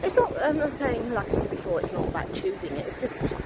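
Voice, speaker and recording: A woman with a British accent and lively intonation, over noticeable background noise. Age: 60s. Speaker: vlogger and meditation teacher. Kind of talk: casual vlog monologue. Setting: outdoors by the beach. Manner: hesitant, with fillers.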